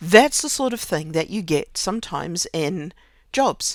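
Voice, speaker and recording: Talking at a moderate speed, a woman lets her pitch swing very widely. Behind her lies a silent background on a very clean recording. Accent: New Zealand. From New Zealand. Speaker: podcaster. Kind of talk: casual personal monologue. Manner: halting, with many fillers and repetitions.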